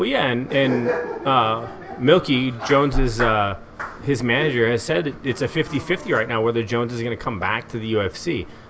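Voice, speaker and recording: This is a man speaking at a medium pitch and a moderate pace, with ordinary pitch variation. There is noticeable background noise. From Eugene, Oregon, US. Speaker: former pro wrestler, announcer and beer podcast co-host. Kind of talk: casual chat, beer and MMA talk.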